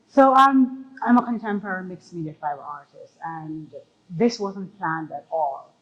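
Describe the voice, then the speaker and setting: Pitch leaps up and down very widely as the talking proceeds at a medium tempo. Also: woman, medium pitch for a woman. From Jamaica. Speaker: artist. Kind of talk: interview.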